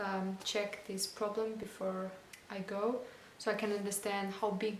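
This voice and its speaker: With audible room echo and noticeable background noise, a woman talks at a fairly slow pace, medium pitch and monotone, flat intonation. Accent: non-native. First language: not English. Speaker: van-life vlogger. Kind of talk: casual vlog talk to camera. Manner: halting, many fillers.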